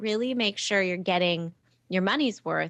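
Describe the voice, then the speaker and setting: In an ordinary speaking voice, a woman talks at a moderate pace and fairly low pitch, the recording very clean with a silent background and a dry, close sound with no echo. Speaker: test prep tutor and business founder. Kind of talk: interview.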